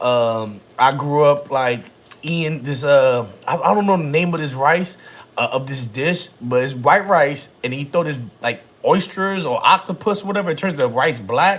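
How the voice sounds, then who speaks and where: Against noticeable background noise, a man speaks at a fairly slow pace in a fairly high pitch, with an animated tone and lively intonation. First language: Spanish. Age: 30s. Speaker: family vlogger. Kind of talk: casual chat. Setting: livestream.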